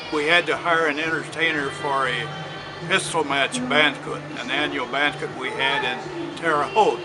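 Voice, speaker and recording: Noticeable background noise and audible room echo fill this clip of a man with an American accent. He speaks at a fairly slow pace with fairly high pitch and fairly even intonation. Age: 80s+. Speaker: retired police officer. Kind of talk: interview storytelling. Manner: halting, with many fillers.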